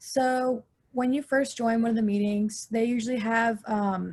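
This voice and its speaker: A woman's fairly high, somewhat breathy voice with a dark, mellow tone and monotone, flat intonation, against a quiet background. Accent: American. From Georgia, US, Forsyth County. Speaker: student. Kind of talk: panel discussion.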